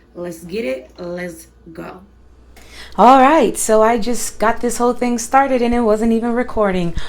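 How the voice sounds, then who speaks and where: Through audible room echo, a woman speaks at a fairly slow pace. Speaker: cooking channel host. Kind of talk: cooking tutorial. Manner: casual, chatty.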